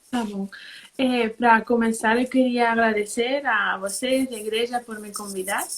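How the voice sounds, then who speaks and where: With a strong Spanish accent, a woman talks at a fairly slow pace and a fairly high pitch, her intonation fairly even but her loudness swinging widely. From Spain. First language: Spanish (speaking Portuguese). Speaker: social worker. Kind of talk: live stream interview. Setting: live stream, late at night.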